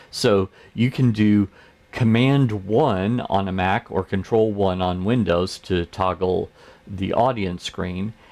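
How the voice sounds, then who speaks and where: A man with an American accent and a fairly low pitch speaks at a very slow pace. His pitch varies in an ordinary way against a quiet background. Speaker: church tech trainer, show host. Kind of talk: tutorial. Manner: casual, conversational.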